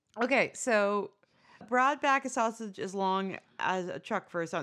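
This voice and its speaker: A woman with an American accent speaks in a normal speaking voice at medium pitch and a moderate pace. Her intonation is lively, and the background is quiet. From United States. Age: 40s. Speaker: podcast co-host. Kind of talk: casual chat.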